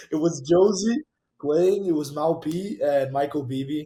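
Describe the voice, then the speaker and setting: A man speaks with a Portuguese accent. His voice is high-pitched with a dark, mellow tone. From Brazil. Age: 20s. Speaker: DJ and music producer. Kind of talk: casual interview. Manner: animated.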